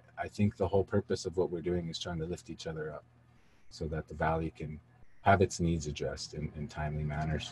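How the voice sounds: A man speaks at an extremely low pitch with a husky, rough edge, a slightly mellow tone and little pitch movement. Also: fairly quick pace.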